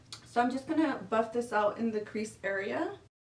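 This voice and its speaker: A woman with an American accent and an unremarkable speaking voice, fairly high in pitch, at a moderate pace. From California. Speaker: beauty youtuber. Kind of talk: makeup tutorial. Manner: casual chatty.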